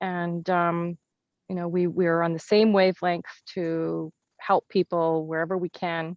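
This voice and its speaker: This woman has a fairly low pitch and a slight Canadian accent. She talks fairly slowly with monotone, flat intonation. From Canada (Kenora, Ontario). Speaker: entrepreneur. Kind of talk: casual interview. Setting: video call.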